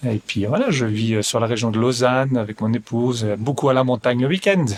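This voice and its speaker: Medium-pitched man's voice with a slight Belgian accent and ordinary pitch variation. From Belgium. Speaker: real estate investment advisor. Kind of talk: podcast interview. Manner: hesitant, many fillers and repetitions.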